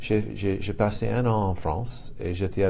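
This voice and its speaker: A man with an American accent speaks very slowly in a dark, mellow tone, with audible room echo around him. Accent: charming American accent in French. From United States. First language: English (speaking French). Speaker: lawyer. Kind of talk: interview. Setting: his office. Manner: halting, repeats words.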